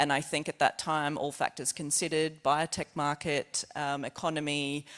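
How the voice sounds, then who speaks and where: The recording is very clean, with a silent background. The speaker has an Australian accent. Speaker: scientist presenting research. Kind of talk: conference presentation. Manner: fast; halting.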